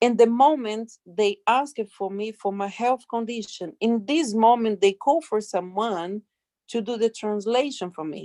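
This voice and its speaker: At a fairly slow pace, a woman with a non-native accent speaks at a fairly high pitch with ordinary pitch variation and a dark, mellow tone, the sound dry and close with no echo. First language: not English. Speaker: sex worker, migrant. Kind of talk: testimony. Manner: halting.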